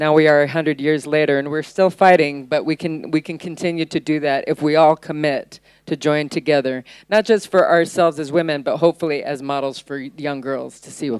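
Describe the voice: A woman speaks at a moderate pace in a low, clear, smooth voice with a dry, close sound and no echo. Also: ordinary pitch variation.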